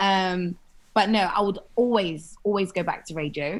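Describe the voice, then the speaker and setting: This woman has a strong London accent. She speaks at a moderate pace. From London, England. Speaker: TV and radio presenter. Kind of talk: podcast interview. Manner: animated.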